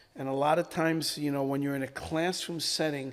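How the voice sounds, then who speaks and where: Speaking in a plain, everyday voice, a man keeps a fairly quick pace at a fairly high pitch with ordinary pitch variation. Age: 60s. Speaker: rabbi. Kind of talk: casual chat.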